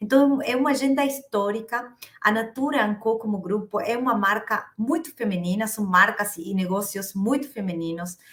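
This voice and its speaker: A woman with an Argentine accent talks at a moderate pace with hardly any pauses. Her fairly high pitch shows ordinary variation. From Argentina. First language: Spanish (speaking Portuguese). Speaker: HR executive. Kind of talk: interview. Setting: at home, remote call. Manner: hesitant, repeats words.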